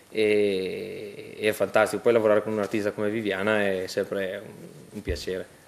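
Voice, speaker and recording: This is a man with an ordinary speaking voice. He has a fairly low pitch and keeps a moderate pace. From Lumezzane, Brescia province, northern Italy. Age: 20s. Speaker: band percussionist. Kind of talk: TV interview.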